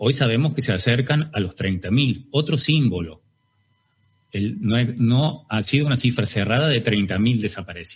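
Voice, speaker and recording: Somewhat breathy and medium-pitched, a man speaks at a moderate pace with lively intonation and very even loudness. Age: 40s. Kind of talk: testimony. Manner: halting.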